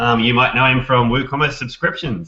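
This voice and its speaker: With an Australian accent, a man speaks at a moderate pace and a medium pitch. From Australia, Brisbane. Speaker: podcast host, WordPress developer. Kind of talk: casual interview chat.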